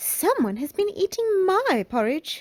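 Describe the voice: A female-sounding voice performs a put-on character voice at an extremely high pitch. It moves at a fairly slow pace with very wide pitch swings.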